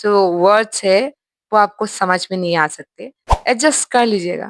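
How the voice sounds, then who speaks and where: A woman speaks at a medium pitch with ordinary pitch variation, and the sound is dry and close with no echo. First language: not Hindi (speaking Hindi). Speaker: YouTuber, reaction commentator. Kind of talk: reaction commentary. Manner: animated.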